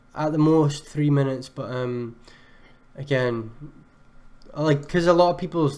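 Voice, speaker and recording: A man talks at a moderate pace. He speaks with a Scottish accent. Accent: Scottish, sometimes mistaken for Irish. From Scotland. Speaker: music producer reviewing beats on a livestream. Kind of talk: live stream beat review. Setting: live stream with chat. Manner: casual, many filler words.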